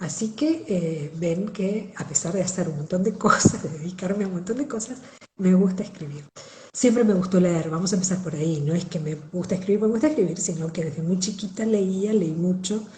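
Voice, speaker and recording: A woman speaks at a fairly quick pace with a porteño accent and a medium pitch. Her pitch variation is ordinary, and there is audible room echo. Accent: porteño Argentine. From Argentina, Buenos Aires. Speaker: writer and accountant. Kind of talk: interview.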